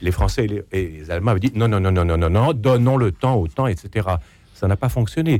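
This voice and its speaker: Recorded very cleanly against a silent background, a man with a fairly low, dark, mellow voice speaks at a moderate pace with lively intonation. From Quebec, Canada. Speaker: essayist and radio journalist. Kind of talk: radio panel debate.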